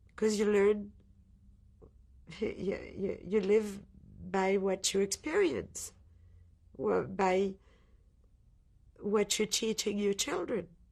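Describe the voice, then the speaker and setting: Speaking at a very slow pace with long, frequent pauses, a woman keeps her intonation fairly even. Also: medium pitch for a woman. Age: 60s. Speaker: Holocaust survivor. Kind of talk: testimony. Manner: halting.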